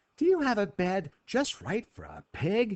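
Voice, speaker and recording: A put-on character voice, fairly high in pitch, delivered at a moderate pace. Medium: read story.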